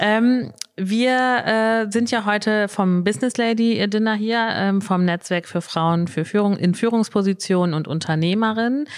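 A woman of medium pitch speaks in an unremarkable speaking voice at a fairly slow pace, with ordinary pitch variation, very even loudness and hardly any pauses. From northwestern Germany (Emsland). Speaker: business network organizer, guest interviewer. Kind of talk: live interview. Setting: live recording in a shop with an audience.

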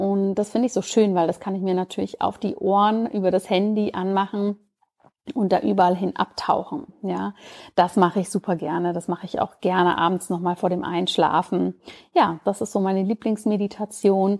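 A woman's fairly even intonation on a very clean recording with a silent background. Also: medium pitch for a woman, moderate pace. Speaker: podcast host, doctor and Ayurveda expert. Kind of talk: casual solo podcast monologue.

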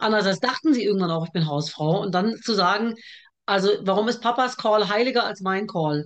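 Fairly quick speech comes through with ordinary pitch variation. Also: woman, medium pitch for a woman. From Germany, with early childhood in Iraq. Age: 40s. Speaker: TV producer and author. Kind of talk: casual interview chat. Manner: talkative.

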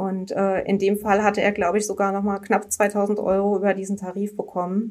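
A woman at a medium pitch and fairly quick pace, monotone and flat in intonation, with hardly any pauses. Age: 30s. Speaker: insurance customer service employee. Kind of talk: interview conversation. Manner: hesitant, many filler words.

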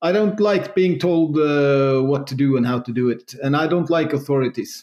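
Against a quiet background, a man at a fairly high pitch speaks at a moderate pace with ordinary pitch variation, in a plain, everyday voice. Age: 40s. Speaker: entrepreneur. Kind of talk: interview.

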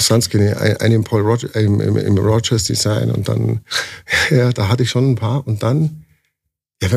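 A man with a dark, mellow tone speaks at medium pitch and a moderate pace. His loudness stays very even. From Bavaria, Landsberg am Lech. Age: 40s. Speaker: tattoo artist. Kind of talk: casual interview. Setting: at a trade event.

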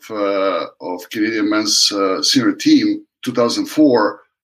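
This is a man speaking. He has a Serbian accent. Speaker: water polo coach. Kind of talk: interview.

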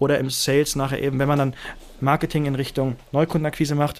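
Talking at a fairly quick pace, a man delivers his lines in a monotone, flat way at a fairly high pitch. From Germany, Lake Constance. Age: 20s. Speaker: startup founder and CEO. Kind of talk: interview.

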